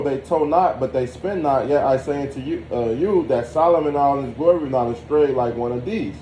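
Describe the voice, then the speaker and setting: Over noticeable background noise and audible room echo, a man talks at a fairly slow pace with a fairly high pitch and lively intonation. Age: 30s. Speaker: religious study participant. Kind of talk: scripture reading and discussion.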